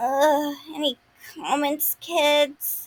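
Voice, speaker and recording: A woman's high-pitched put-on character voice with monotone, flat intonation. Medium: audio drama. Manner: brash.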